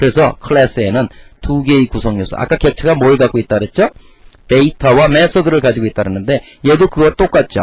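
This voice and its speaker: Very fast and somewhat breathy, a man talks at a fairly high pitch with lively intonation. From Korea, Chungcheong region. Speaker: lecturer. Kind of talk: lecture.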